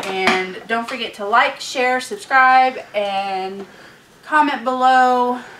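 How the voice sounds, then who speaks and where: Very slow speech with ordinary pitch variation, set against noticeable background noise and audible room echo. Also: woman, high pitch for a woman. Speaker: couponing vlogger. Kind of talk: casual vlog outro.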